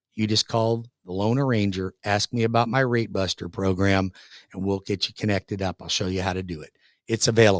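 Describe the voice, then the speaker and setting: A man with an American accent and a normal speaking voice, fairly low pitch, fairly even intonation and a fairly quick pace, dry and close with no echo on a very clean recording with a silent background. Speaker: radio show host, mortgage loan officer. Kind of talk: radio show talk with ad-style sales pitch. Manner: fast, confident, salesy.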